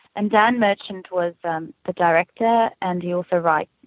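A woman speaks in a South African accent. Her voice is fairly low-pitched. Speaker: actress. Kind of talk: casual interview.

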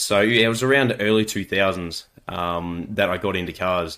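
Here a man speaks with an Australian accent. His pace is moderate and his intonation fairly even. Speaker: mechanic and YouTuber. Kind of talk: casual chat.

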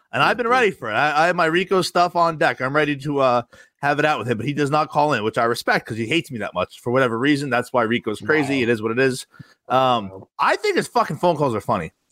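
A man's very fast, fairly high, bright and sharp voice with an American accent, in a dry, close sound with no echo. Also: lively intonation. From New Jersey (Rumson). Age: 30s. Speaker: podcast guest, show caller. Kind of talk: casual chat.

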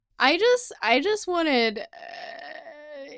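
Very wide pitch swings mark this woman's speech, captured in a very clean recording with a silent background. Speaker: co-host, sports commentator. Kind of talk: casual sports chat.

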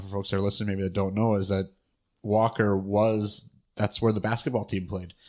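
A man's fairly low voice at a very fast pace, fairly even in intonation, in a very clean recording with a silent background. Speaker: podcast co-host. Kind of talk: casual interview. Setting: at guest's home.

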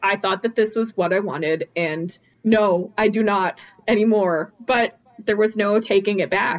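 At a fairly slow pace and with hardly any pauses, a woman talks in an ordinary speaking voice, her medium pitch held in a fairly even intonation. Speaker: game designer. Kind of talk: casual chat and role-play.

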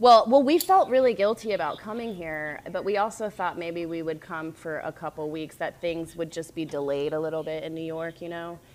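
Using a normal speaking voice, a woman with an American accent talks at a fairly quick pace and fairly low pitch, with ordinary pitch variation and hardly any pauses. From US South, North Carolina. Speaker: ballet dancer. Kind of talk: casual interview chat. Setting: remote call from Bahamas island.

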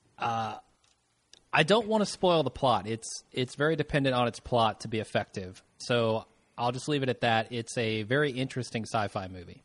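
A man with a normal speaking voice and medium pitch talks at a moderate pace with ordinary pitch variation. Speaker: guest co-host. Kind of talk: casual banter podcast.

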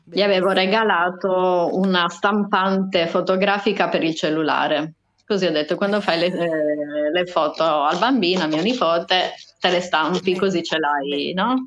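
A woman speaks fairly slowly at a fairly low pitch, in an unremarkable speaking voice with ordinary pitch variation. Her loudness stays very even against a quiet background. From Sardinia. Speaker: podcast guest. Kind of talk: casual chat.

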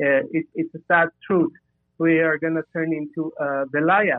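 This is a man with a fairly high pitch. His intonation stays fairly even. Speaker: caller. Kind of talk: casual call-in discussion. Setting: phone call. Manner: halting.

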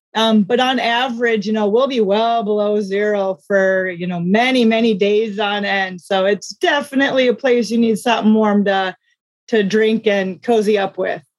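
At a moderate pace, a woman with an ordinary speaking voice talks at a fairly high pitch with fairly even intonation. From US Midwest (South Dakota). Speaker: small business owner, former meteorologist. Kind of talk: interview.

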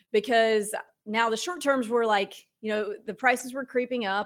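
A woman with a plain, everyday voice speaks at a fairly high pitch. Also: very clean recording, silent background. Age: 30s. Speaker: real estate investor and author. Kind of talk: interview. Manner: casual.

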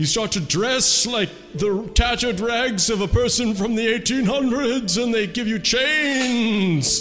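Someone performs a put-on character voice at a fairly slow pace. Clear music sounds in the background. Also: man, extremely high pitch for a man. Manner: spooky, theatrical.

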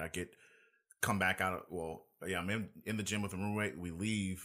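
With an American accent, a man speaks at a moderate pace on a very clean recording with a silent background. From California. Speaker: military recruiter and fitness figure. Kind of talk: casual interview. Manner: halting, repetitive.

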